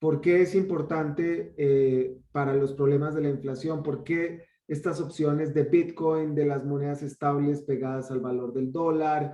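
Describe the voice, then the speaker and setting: A man with a Colombian accent speaks at a fairly slow pace and a fairly high pitch, in a monotone with flat intonation. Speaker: online course host. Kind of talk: welcome speech. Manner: hesitant, with many fillers.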